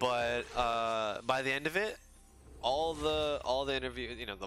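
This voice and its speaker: A man is speaking. Music plays in the background. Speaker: gaming livestreamer. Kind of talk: casual livestream chat while gaming. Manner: halting, with frequent fillers and repeated words.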